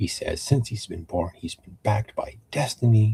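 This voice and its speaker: The sound is dry and close, without any echo. The voice belongs to a man. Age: 50s. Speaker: wrestling show recap youtuber. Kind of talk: live-stream show recap. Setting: live stream. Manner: halting, many fillers.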